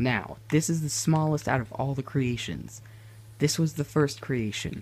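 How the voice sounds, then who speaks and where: A quiet, somewhat breathy man at a fairly slow pace, medium pitch and ordinary pitch variation. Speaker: gaming YouTuber. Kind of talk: gameplay tutorial. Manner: quieter, hushed; hesitant, many fillers.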